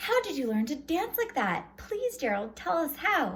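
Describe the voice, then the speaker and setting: A woman does a put-on character voice, high-pitched with very wide swings. She goes at a moderate pace over light background noise. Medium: read story.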